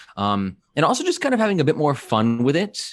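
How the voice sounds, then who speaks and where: A man with a normal speaking voice and an American accent, at a fairly quick pace with ordinary pitch variation. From United States. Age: 30s. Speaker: podcast co-host, digital marketer. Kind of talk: casual chat.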